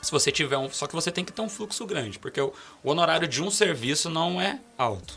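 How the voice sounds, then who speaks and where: Over music in the background, a man talks at a fairly quick pace. His voice is high, with lively intonation. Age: 20s. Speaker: criminal defense lawyer. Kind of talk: casual interview chat.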